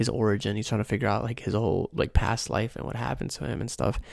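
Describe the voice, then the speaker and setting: A soft-spoken man with an American accent, fairly low pitch, ordinary pitch variation and vocal fry. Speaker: ASMR creator. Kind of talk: casual talk to camera, soft-spoken anime recommendations. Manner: soft-spoken, rambling.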